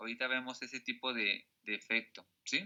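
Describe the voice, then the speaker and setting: This man has an ordinary speaking voice, a medium pitch and a fairly slow pace. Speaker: teacher. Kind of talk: lecture.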